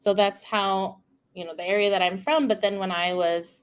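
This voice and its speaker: A woman's medium-pitched voice with a Spanish accent and ordinary pitch variation, in a very clean recording with a silent background. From California, King City (rural Central Coast). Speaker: speech-language pathologist. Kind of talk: casual interview chat.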